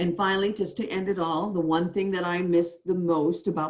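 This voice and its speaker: A woman's intonation stays fairly even while she keeps a moderate pace. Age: 60s. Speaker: college marketing director, former TV journalist. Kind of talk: panel discussion. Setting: video call. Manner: halting.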